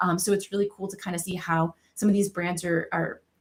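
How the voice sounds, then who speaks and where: Her medium pitch and fairly even intonation carry this woman's fairly quick speech. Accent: American. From Massachusetts, South Shore. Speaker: cannabis marketing director. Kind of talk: podcast interview. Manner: many fillers (um, you know).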